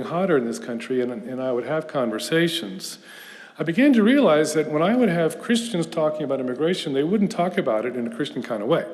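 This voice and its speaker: Speaking at a fairly quick pace with an American accent, a man uses a fairly high pitch, with audible room echo and noticeable background noise. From US South, Houston, Texas. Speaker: professor. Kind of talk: lecture. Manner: conversational with hesitations.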